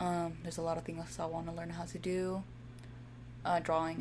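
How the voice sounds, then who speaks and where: A woman with a Spanish accent at a fairly quick pace, with audible room echo and noticeable background noise. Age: 20s. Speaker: gaming streamer. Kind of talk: casual gameplay commentary. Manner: halting, stumbles over words.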